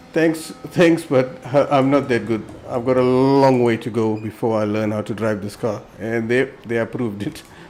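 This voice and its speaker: Noticeable background noise sits behind the speaker. He is a man with a medium pitch. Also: ordinary pitch variation, moderate pace. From South Africa. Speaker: sim racing streamer. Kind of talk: live gameplay commentary.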